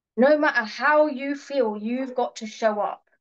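A woman speaks at a high pitch with ordinary pitch variation. Her pace is fairly slow, and the background is quiet. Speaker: fitness coach. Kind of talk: webinar presentation. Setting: video call. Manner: loud; animated. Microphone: webcam.

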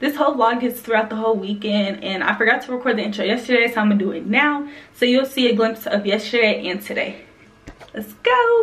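A woman with an American accent talks very fast, her intonation fairly even. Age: young. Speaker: vlogger. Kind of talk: casual vlog talk to camera. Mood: cheerful. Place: home room. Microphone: phone near.

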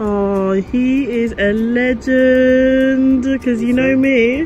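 Faint music plays behind a woman's voice. Her pitch is high and her intonation fairly even. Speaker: family vlogger. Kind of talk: casual vlog chat. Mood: warm, playful. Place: station. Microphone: phone near.

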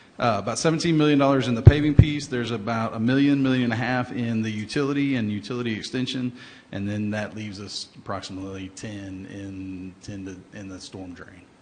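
Loudness swings widely as a man talks at a fairly quick pace with hardly any pauses. His pitch is medium with ordinary variation, and room echo is audible. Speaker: city engineer. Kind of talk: public meeting presentation. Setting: council chamber. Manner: hesitant, many fillers.

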